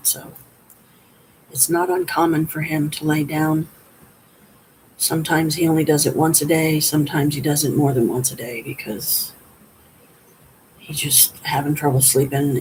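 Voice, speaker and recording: In a put-on character voice, someone speaks quietly and raspily at a middle pitch and a moderate pace, with long, frequent pauses. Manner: hushed, indoor voice.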